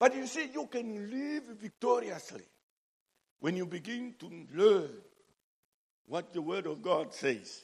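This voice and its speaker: The speaker has a Zambian accent and talks at a fairly slow pace with long, frequent pauses. Loudness swings widely, and the pitch swings very widely too. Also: man, high pitch for a man. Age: 60s. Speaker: preacher. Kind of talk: sermon. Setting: church.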